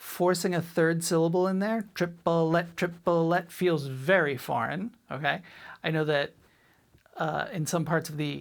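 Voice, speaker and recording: With a Boston accent, a woman speaks at a fairly slow pace in a very deep, low pitch and fairly even intonation. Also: very clean recording, silent background. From Boston, US. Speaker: drum teacher. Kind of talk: tutorial. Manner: clipped, abbreviated words.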